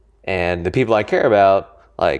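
A man with an American accent and a plain, everyday voice, fairly low in pitch with ordinary pitch variation, against a quiet background. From Colorado, US. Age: 20s. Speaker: entrepreneur, co-founder of a company. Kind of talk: casual interview conversation. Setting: co-working space office.

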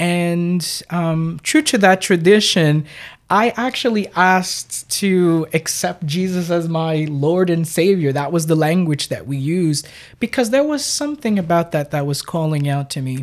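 On a very clean recording with a silent background, a woman with an ordinary speaking voice talks fairly slowly, her fairly low pitch showing ordinary pitch variation. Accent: American. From New York, Brooklyn. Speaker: pastor and psychotherapist. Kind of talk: casual chat.

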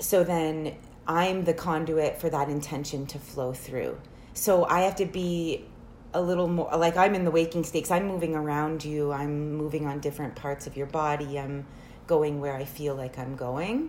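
A woman speaks with a very deep, low pitch and fairly even intonation. Audible echo from the room surrounds her voice. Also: moderate pace. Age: 30s. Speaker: reiki practitioner. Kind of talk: casual chat.

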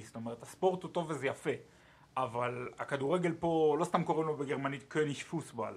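Lively intonation from a man with a fairly high-pitched voice, unfolding at a moderate pace. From Israel, Ashdod. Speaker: sports journalist, podcast co-host. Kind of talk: casual chat. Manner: halting, many fillers.

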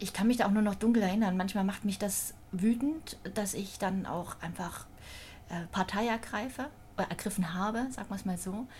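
A woman's somewhat breathy, medium-pitched voice at a moderate pace, with ordinary pitch variation and long, frequent pauses. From Thüringen, eastern Germany. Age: 40s. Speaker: hospital social services manager. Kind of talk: casual interview.

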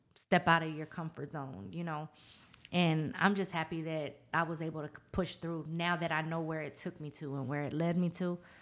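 A woman with an American accent, very deep and low in pitch, her intonation fairly even at a moderate pace. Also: very clean recording, silent background. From Norfolk, Virginia. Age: 40s. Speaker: lash salon owner. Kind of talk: casual interview.

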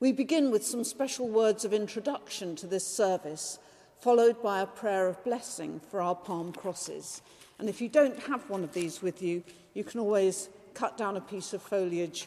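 Lively intonation from a woman at medium pitch, with noticeable background noise. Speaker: priest leading the liturgy. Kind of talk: Anglican liturgy, spoken prayers and blessings in a church service. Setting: church service, recorded for podcast. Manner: formal, measured, solemn, reverent.

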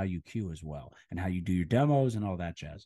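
An animated man with an American accent talks at a fairly quick pace over a quiet background. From central Pennsylvania. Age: 30s. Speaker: personal trainer. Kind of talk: casual chat. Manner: loud.

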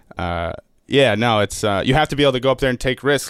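An American-accented man talks at a very fast pace with ordinary pitch variation. The sound is dry and close, with no echo. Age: 20s. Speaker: stand-up comedian. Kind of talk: casual chat.

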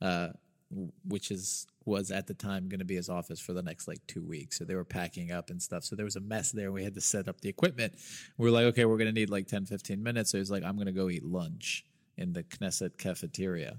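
A very fast voice with an American accent and ordinary pitch variation, on a very clean recording with a silent background. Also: man, fairly low pitch for a man. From US South, Birmingham, Alabama. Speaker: podcast host. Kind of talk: casual chat.

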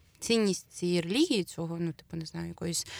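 The sound is dry and close with no echo as a woman with a normal speaking voice talks in a fairly low pitch with ordinary pitch variation. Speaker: podcast co-host. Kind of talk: casual chat.

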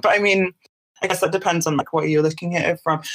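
A woman speaks with a British accent. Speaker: artist and writer. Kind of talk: interview. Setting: remote call. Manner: halting.

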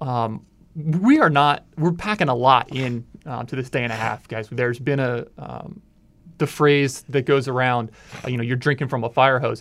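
With an American accent and a plain, everyday voice, a man speaks at a moderate pace and medium pitch with ordinary pitch variation. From Frederick, Maryland, Washington DC area. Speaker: communications staffer, new team member. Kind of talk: casual interview chat.

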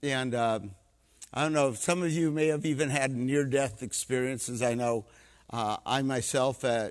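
A man speaks at a moderate pace in a normal speaking voice, medium in pitch with ordinary pitch variation, on a very clean recording with a silent background. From Canada. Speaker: missionary preacher. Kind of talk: sermon. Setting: church.

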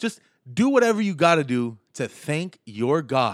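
An animated tone with very wide pitch swings on a very clean recording against a silent background. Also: man. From Miami. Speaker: stand-up comedian and sports radio host. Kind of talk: sports talk podcast monologue. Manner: animated, loud, comedic.

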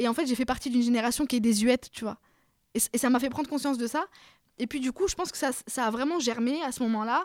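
A woman's high-pitched voice at a very fast pace, ordinary pitch variation, on a very clean recording with a silent background. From France, Paris suburbs (Seine-Saint-Denis). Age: 30s. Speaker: novelist. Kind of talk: interview. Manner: hesitant, many repetitions.

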